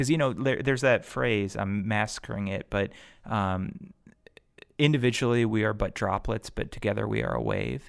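A man speaks at a fairly low pitch with vocal fry and ordinary pitch variation. His moderate pace comes through on a very clean recording with a silent background. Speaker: lawyer and community organizer. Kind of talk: casual chat. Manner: animated.

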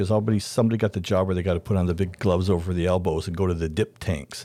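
A dark, mellow voice with a Canadian accent at a very fast pace and fairly even intonation, on a very clean recording with a silent background. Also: man. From Canada. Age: 60s. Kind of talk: casual chat.

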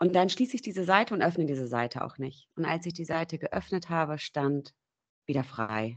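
A woman speaks at a moderate pace with a fairly low pitch and very wide pitch swings. The background is quiet. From northern Germany, near Bremen. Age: 30s. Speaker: dog owner. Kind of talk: testimony.

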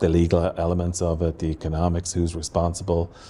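A man's very deep, low voice with a dark, mellow tone, monotone, flat intonation and a Waterford Irish accent. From Ireland, Waterford. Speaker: transport professor. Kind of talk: interview. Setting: university building.

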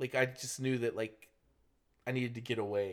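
With an American accent, a man talks at a fairly quick pace and medium pitch. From Florida, US South. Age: 30s. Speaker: teacher. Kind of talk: casual chat.

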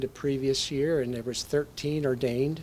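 At a fairly slow pace, a man speaks in a medium pitch with fairly even intonation. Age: 60s. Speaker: bishop / visiting preacher. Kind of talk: sermon. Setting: church. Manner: halting, many fillers.

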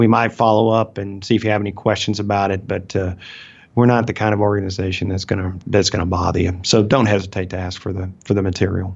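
A man with a Southern accent, fairly low-pitched and monotone with flat intonation, at a very fast pace. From Alabama. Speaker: financial advisor. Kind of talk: casual chat.

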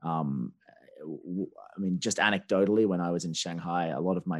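A man with an Australian accent speaks at a very deep, low pitch on a very clean recording with a silent background. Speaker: newsletter co-founder and former diplomat. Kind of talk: interview. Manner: halting, many repetitions.

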